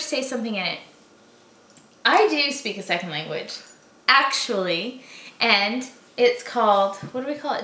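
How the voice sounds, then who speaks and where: A woman uses a raised, projected voice, high in pitch with lively intonation. She goes at a fairly slow pace, and there is audible room echo. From Boston, Massachusetts. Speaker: vlogger. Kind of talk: casual talk to camera. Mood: playful, laughing. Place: home room. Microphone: camera far.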